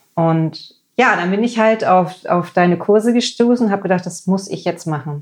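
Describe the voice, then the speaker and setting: A woman's unremarkable speaking voice at a medium pitch, with a moderate pace and ordinary pitch variation. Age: 40s. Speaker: lab technician and ayurveda cook. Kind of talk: casual interview chat.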